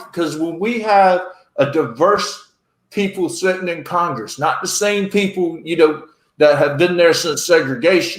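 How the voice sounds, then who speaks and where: A high-pitched man with a North Carolina accent at a fairly slow pace, ordinary pitch variation, and audible room echo. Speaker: podcast host, military veteran. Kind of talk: casual chat. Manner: animated.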